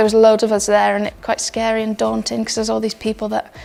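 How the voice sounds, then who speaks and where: A woman at a very fast pace, with music in the background. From northern England, Yorkshire. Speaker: rugby player. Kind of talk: personal story interview. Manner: casual, hesitant with many ums.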